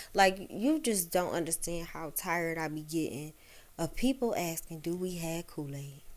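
In an unremarkable speaking voice, a woman with an American accent talks at a moderate pace, her pitch fairly low with ordinary pitch variation. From Detroit, east side. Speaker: chef and caterer. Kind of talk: casual chat.

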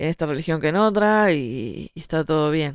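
The woman's voice is very deep and low in pitch, with a dry, close sound and no echo. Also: quiet background. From Uruguay. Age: 30s. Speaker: writer. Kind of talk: monologue talk show.

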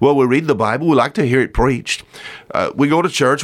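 With a Southern US accent and vocal fry, a man at medium pitch talks at a very fast pace. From US South. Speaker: radio preacher. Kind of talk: sermon.

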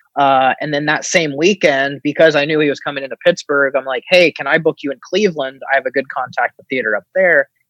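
The speaker has an American accent and a fairly quick pace. There are hardly any pauses. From US Midwest, southeastern Ohio. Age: 30s. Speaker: film producer. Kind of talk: casual interview.

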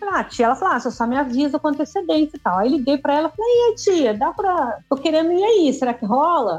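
A very fast, high-pitched woman's voice with very wide pitch swings. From interior of Rio de Janeiro state, Brazil. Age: 50s. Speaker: retired backpacker. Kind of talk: casual interview chat.

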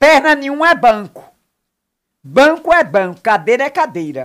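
A woman's high voice with very wide pitch swings at a fairly slow pace. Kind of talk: casual interview.

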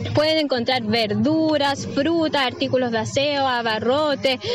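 At a fairly slow pace, a woman with a high pitch speaks through audible room echo and noticeable background noise. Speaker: neighbourhood delegate. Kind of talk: live interview.

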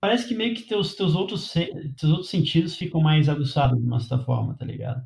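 A man's fairly high, lively-sounding intonation in a plain, everyday voice. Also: fairly quick pace. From Brazil. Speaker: podcast host. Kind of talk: casual chat.

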